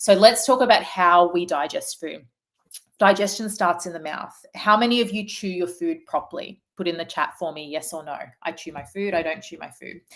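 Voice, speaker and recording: A woman speaks in an Australian accent at a medium pitch with ordinary pitch variation. Her loudness swings widely. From Australia, Melbourne. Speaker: naturopath. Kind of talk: webinar presentation. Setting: online webinar. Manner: fast; animated.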